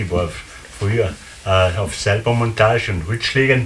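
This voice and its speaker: A man speaks at a fairly low pitch. Noticeable background noise runs underneath. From Austria. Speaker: contemporary witness. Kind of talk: interview. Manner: halting. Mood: relaxed, reminiscing. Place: home room. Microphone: camera far.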